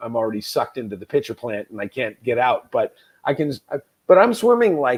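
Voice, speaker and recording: Speaking at a fairly quick pace, a man comes through with a dry, close sound and no echo. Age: 50s. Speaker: former heavy drinker turned Ironman athlete. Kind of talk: interview. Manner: animated.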